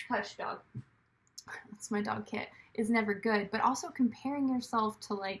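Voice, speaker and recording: This woman's voice carries some breathiness. She talks at a middle pitch, neither fast nor slow. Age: 30s. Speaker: actor, writer and director vlogger. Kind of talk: casual vlog monologue. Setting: at home.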